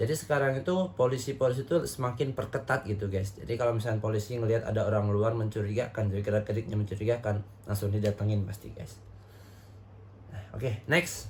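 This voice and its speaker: A man speaks at a very fast pace in a fairly low pitch, with ordinary pitch variation and noticeable background noise. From Indonesia, not Javanese. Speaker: reaction video host. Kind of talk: casual commentary on TikTok videos. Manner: animated, conversational.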